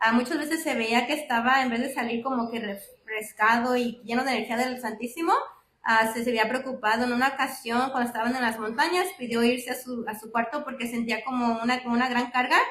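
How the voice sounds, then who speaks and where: At a fairly quick pace, a woman talks in a high pitch with fairly even intonation. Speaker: lay speaker giving a reflection at a church class. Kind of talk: religious talk. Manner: fast; many filler sounds (ah, am, este).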